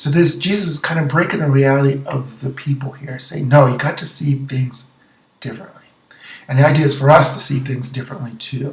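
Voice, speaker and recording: Pitched fairly high, a man speaks at a fairly quick pace. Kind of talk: gospel reflection video. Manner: fast; animated.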